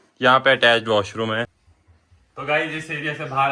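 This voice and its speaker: Speaking at a moderate pace, a man of medium pitch holds a flat, monotone intonation. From Himachal Pradesh, India. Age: young. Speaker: travel vlogger. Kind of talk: casual house tour vlog.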